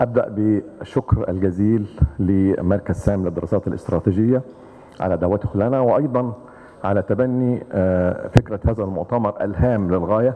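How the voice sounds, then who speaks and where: Against noticeable background noise, a man with an Arabic accent speaks at a fairly slow pace in a fairly low pitch with ordinary pitch variation. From Egypt. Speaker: retired army general, think tank chairman. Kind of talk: conference presentation. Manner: formal.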